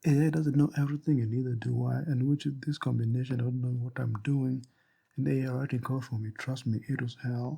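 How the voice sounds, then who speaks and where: A man with a non-native accent talks at medium pitch in a dark, mellow tone, somewhat breathy, with fairly even intonation. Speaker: hobbyist game developer. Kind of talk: casual talk to camera.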